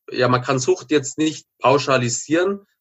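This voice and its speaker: The speaker is a man. His pitch stays fairly even throughout. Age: 30s. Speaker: former drug addict turned author and entrepreneur. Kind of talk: interview testimony.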